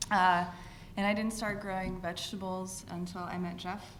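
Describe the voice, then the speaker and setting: A woman at a moderate pace with an American accent, audible room echo and noticeable background noise. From Northern California. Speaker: vegetable farmer. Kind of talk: panel talk.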